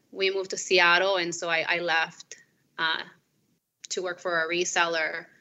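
A woman with a Spanish accent, medium pitch and a moderate pace. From Peru. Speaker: company employee, married guest. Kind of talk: casual chat.

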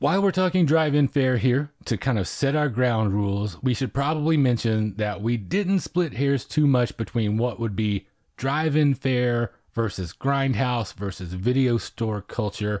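Speaking with a plain, everyday voice, a man uses medium pitch and lively intonation at a moderate pace with hardly any pauses and very even loudness. The sound is dry and close with no echo, on a very clean recording with a silent background. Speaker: podcast host. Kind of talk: casual chat. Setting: studio.

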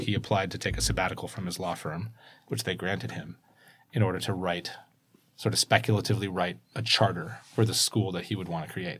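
A man with an American accent, very deep and low in pitch, with vocal fry, ordinary pitch variation and a very fast pace. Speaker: school communications executive and tech entrepreneur. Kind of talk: casual interview.

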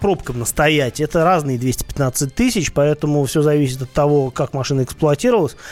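An unremarkable speaking voice from a man, fairly high in pitch, at a moderate pace. His intonation is lively. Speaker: radio host and car expert. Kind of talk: radio talk show answering listener questions.

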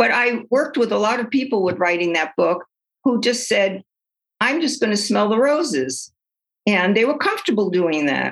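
A woman's fairly high voice in a New York accent, with vocal fry, very wide pitch swings and very even loudness. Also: moderate pace. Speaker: retired psychologist and author. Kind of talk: interview.

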